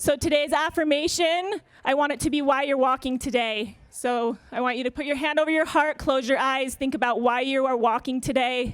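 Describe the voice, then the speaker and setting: Loud and high-pitched, a woman talks at a moderate pace. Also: ordinary pitch variation, hardly any pauses. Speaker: yoga therapist. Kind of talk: public speech then guided yoga warm-up.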